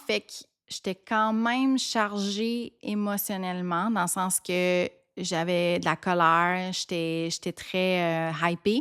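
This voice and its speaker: Very slowly, a woman speaks at a medium pitch with ordinary pitch variation and big swings in loudness. The recording is very clean and dry, close with no echo and a silent background. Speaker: podcast host. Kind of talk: casual storytelling podcast.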